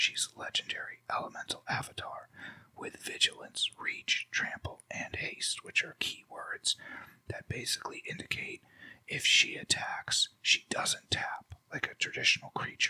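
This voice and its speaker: Someone is whispering at a fairly slow pace. The sound is dry and close, with no echo. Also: man. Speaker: ASMR creator. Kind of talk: ASMR deck walkthrough. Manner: slow, relaxed, conversational.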